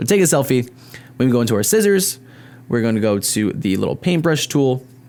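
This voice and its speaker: With an animated tone and very wide pitch swings around a medium pitch, a man speaks at a fairly quick pace and very even loudness. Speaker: YouTuber, tech tutorial creator. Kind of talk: tutorial. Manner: fast; casual, animated.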